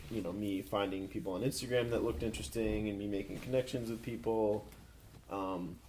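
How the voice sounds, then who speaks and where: Speaking at a fairly quick pace, a man with a fairly low voice is heard with audible room echo. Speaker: podcaster guest. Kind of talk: casual chat. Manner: monotone.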